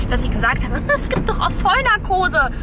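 Loud background noise surrounds a woman talking at a fairly quick pace. The sound itself is dry, with no echo. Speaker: family vlogger. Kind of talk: casual vlog chat. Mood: reluctant, playful about dentist. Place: car. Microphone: phone near.

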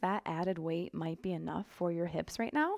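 A woman's calm tone, fairly low in pitch, at a fairly quick pace over a quiet background. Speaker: yoga instructor. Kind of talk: guided yoga class, cueing poses and breath. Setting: home studio, online video class. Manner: relaxed, upbeat and chatty; calm, rhythmic cueing with short breath-paced commands. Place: home room.

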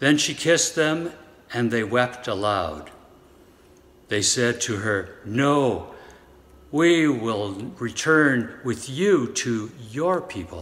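A man at a very slow pace, with very wide pitch swings and long, frequent pauses. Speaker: lay reader in worship service. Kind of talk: scripture reading. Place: church. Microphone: phone near.

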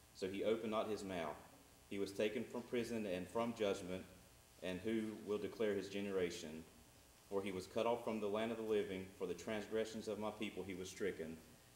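A man speaks at a fairly quick pace with a fairly low pitch and fairly even intonation. Audible room echo and light background noise are present. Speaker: preacher. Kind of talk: scripture reading in a sermon. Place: church.

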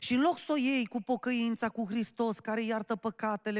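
At a moderate pace over a quiet background, a man speaks at an extremely high pitch with ordinary pitch variation. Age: 30s. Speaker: pastor. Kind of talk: sermon. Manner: animated. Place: church. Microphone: handheld.

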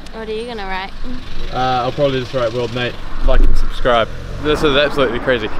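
Amid noticeable background noise, a man with a fairly high pitch talks at a very fast pace, with very wide pitch swings, big swings in loudness and long, frequent pauses. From New Zealand. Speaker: travel vlogger. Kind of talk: casual vlog chat. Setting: outdoors and in a taxi. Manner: animated.

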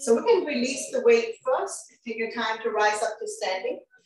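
The speech goes at a moderate pace. Audible room echo and light background noise are present. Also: woman. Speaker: fitness instructor. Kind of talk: exercise class instruction. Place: home room. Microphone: camera far.

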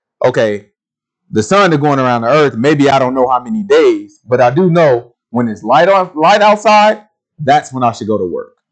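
The background is quiet as a man talks at a moderate pace. His pitch swings very widely. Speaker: Bible teacher; bible teacher. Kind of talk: sermon. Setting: video recording. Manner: casual. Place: studio.

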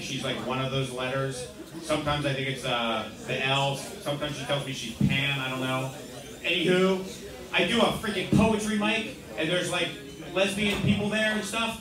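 Over music in the background and with audible room echo, a man speaks at a moderate pace with lively intonation. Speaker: open mic comedian. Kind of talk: stand-up comedy set. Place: bar.

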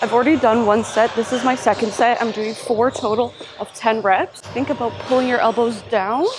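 Against noticeable background noise, a woman talks at a moderate pace with hardly any pauses and fairly even intonation. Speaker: fitness vlogger. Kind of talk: casual vlog chat and exercise tutorial. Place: gym. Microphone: lapel.

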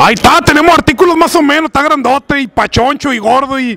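A man speaks in a raised, projected voice at an extremely high pitch and a very fast pace. The sound is dry, with no echo. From Mexico, Sinaloa (Guasave). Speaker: convention emcee and YouTuber. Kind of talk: casual roaming interviews. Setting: live event floor at a fan convention. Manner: animated, joking. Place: street. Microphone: handheld.

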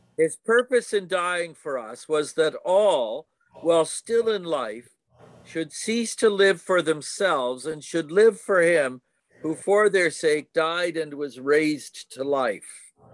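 A man at a very slow pace, lively in intonation, with a dry sound and no echo. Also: quiet background. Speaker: Bible study participant. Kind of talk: group discussion. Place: home room. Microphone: video call.

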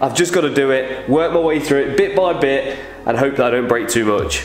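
Light background noise and audible room echo are present. A man talks at a fairly quick pace with ordinary pitch variation. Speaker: car restoration vlogger. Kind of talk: casual vlog chat. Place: garage. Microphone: phone near.

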